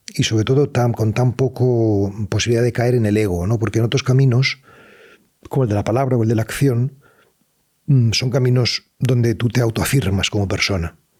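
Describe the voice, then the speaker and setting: A man with a medium pitch and a somewhat breathy voice talks at a moderate pace, his intonation fairly even and his loudness very even. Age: 60s. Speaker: writer and meditation teacher. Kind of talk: interview. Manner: halting; reflective.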